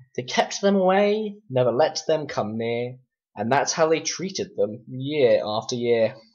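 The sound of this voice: A man speaks at a fairly slow pace and a medium pitch. His intonation is lively and his tone slightly mellow.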